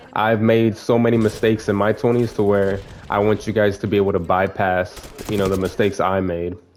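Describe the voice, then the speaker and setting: A man speaks at a fairly quick pace with fairly low pitch and monotone, flat intonation. Noticeable background noise runs behind him. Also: very even loudness. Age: 20s. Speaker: gaming YouTuber giving life advice. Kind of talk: casual talk while playing a video game. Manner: casual, filler-heavy and self-correcting.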